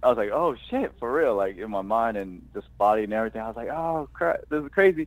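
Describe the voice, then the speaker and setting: A man with an American accent and a medium pitch races along at a very fast pace with lively intonation and hardly any pauses. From California (Oakland and Los Angeles). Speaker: actor. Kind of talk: interview, casual chat. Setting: podcast.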